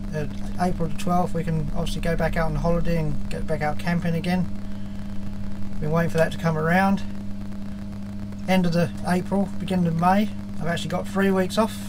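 A man's fairly quick speech comes through noticeable background noise. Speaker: hobby sailor vlogger. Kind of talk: casual vlog chat. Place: workshop. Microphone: phone near.

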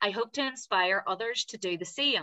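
Against a quiet background, a woman with a bright, sharp tone speaks at a fairly slow pace. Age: 20s. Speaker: patient advocate and blogger. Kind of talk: personal testimony on a panel. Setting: video call. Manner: prepared reading. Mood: hopeful, earnest. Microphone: webcam.

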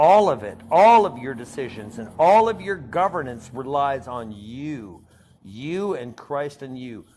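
Over light background noise, a man speaks at a fairly slow pace in an animated tone, his pitch swinging very widely. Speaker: livestream participant; ministry host. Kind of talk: heated debate. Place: home room. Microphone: video call.

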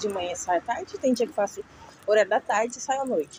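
A woman's fairly high voice at a fairly quick pace, dry with no echo, over noticeable background noise. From Brazil. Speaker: vlogger. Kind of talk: casual walking vlog. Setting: outdoors. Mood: mildly complaining, conversational. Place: street. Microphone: phone near.

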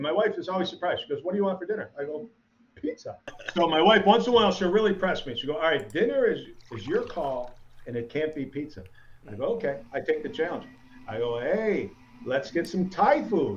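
Over light background noise, a voice with an upstate New York accent moves at a fairly quick pace with very wide pitch swings. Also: man, high pitch for a man. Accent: upstate New York American. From US Northeast (Syracuse, upstate New York). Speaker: stand-up comedian. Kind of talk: stand-up comedy set performed to a virtual audience. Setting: video call from his home basement. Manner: conversational, self-deprecating storyteller with crowd-work asides; halting with frequent repeats and ums, laughing at own jokes. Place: home room. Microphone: handheld.

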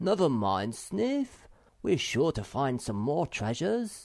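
A man's put-on character voice, fairly high-pitched with very wide pitch swings, at a fairly slow pace over a quiet background. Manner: comforting.

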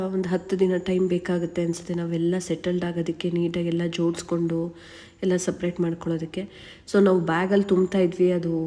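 With a dark, mellow tone, a woman speaks at a fairly low pitch. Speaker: vlogger. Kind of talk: casual vlog narration.

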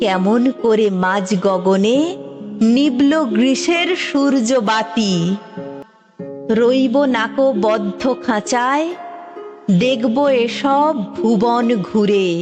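With music in the background, a woman talks at a fairly high pitch with lively intonation and very even loudness. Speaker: poetry reciter. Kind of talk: poetry reading.

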